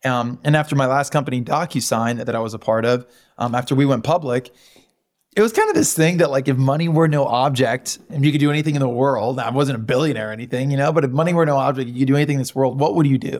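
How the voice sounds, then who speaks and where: A man speaks very quickly, his pitch medium and its variation ordinary. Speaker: company founder. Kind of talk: interview.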